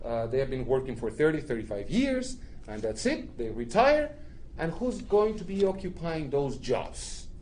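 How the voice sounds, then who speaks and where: With a Spanish accent, the voice moves at a moderate pace through very wide pitch swings. Room echo is audible. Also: man, fairly high pitch for a man. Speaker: immigrant rights organizer, panelist. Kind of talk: panel talk to an audience. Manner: halting, many fillers.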